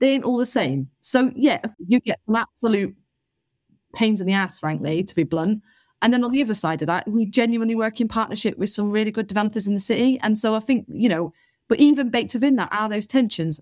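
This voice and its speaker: A woman with a Northwest English accent talks at a fairly quick pace, fairly high in pitch with lively intonation. The recording is very clean, with a silent background. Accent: North West England. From northern England, Salford. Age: 30s. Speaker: local councillor. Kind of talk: interview. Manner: animated.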